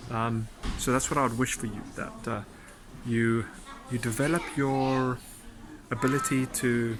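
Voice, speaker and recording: Over noticeable background noise, a man at a medium pitch talks at a fairly slow pace in a monotone, flat intonation, with long, frequent pauses. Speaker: dating coach. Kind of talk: casual vlog advice. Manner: halting.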